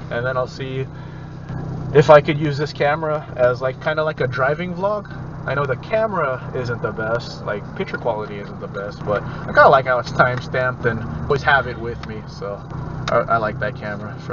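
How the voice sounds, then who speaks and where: Noticeable background noise sits behind a man speaking at a moderate pace. His loudness swings a lot, while his pitch varies in an ordinary way. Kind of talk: casual vlog chat. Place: car. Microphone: camera far.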